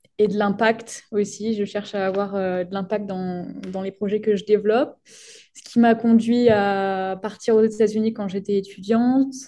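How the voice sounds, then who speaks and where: Over a quiet background, a woman with a dark, mellow tone and medium pitch talks fairly slowly in a flat monotone, with big swings in loudness and hardly any pauses. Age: 20s. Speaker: sports science PhD student. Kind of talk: podcast interview.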